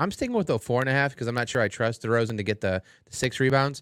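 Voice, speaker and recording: A man with an American accent and medium pitch talks at a very fast pace in a very clean recording with a silent background. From Cleveland, Ohio. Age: 40s. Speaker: sports podcast co-host. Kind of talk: casual chat. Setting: studio.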